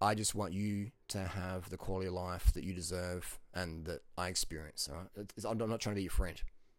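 Recorded very cleanly against a silent background, a man with an Australian accent and a very deep, low pitch speaks at a fairly quick pace with hardly any pauses. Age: 40s. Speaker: fitness and diet YouTuber and coach. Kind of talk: casual monologue to camera, video blog. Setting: video recording, self-filmed. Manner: animated, casual, confident.

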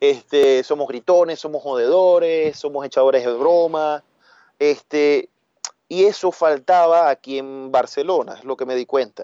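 This man has a fairly high pitch. He talks at a fairly slow pace. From Venezuela, Maracaibo (Zulia). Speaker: food business owner. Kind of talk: casual interview chat. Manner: animated.

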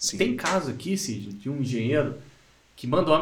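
A man with a strong mineiro accent speaks at a moderate pace in a fairly high voice. The room echo is audible, and background noise is noticeable. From Minas Gerais, Brazil. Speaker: podcast host. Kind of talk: casual interview.

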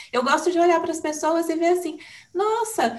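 A woman's warm tone at an extremely high pitch. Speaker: podcaster, communications professional. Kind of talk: interview.

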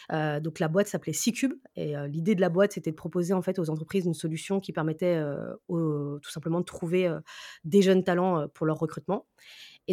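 A woman with a fairly low pitch and a dark, mellow tone talks at a very fast pace with fairly even intonation. The sound is dry and close with no echo, on a very clean recording with a silent background. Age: 30s. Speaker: sales professional. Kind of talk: interview.

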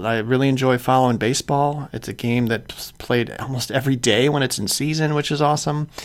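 A man talks with an American accent. His medium pitch shows ordinary variation. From Chicago suburbs, Illinois. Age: 40s. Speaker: podcast host, insurance agency owner. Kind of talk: casual monologue.

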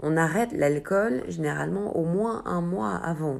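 Her voice is very deep and low, with lively intonation. The woman speaks at a fairly slow pace. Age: 30s. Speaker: amateur runner. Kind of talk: interview. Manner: hesitant, many fillers.

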